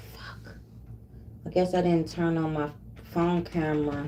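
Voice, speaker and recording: The speech comes at a very slow pace, with audible room echo. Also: woman. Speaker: live streamer and bereaved mother. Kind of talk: casual chat. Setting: livestream.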